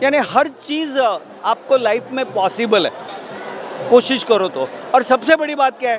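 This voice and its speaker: In a Marathi accent, a man talks at an extremely high pitch with ordinary pitch variation. Noticeable background noise runs under him. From Maharashtra, India. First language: Marathi (speaking Hindi). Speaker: vastu consultant and astrology business promoter. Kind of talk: interview. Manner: formal.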